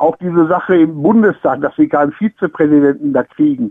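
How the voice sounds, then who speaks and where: A man talks at a moderate pace in a high voice. His intonation is lively. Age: old. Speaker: retired caller. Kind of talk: call-in radio discussion. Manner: halting.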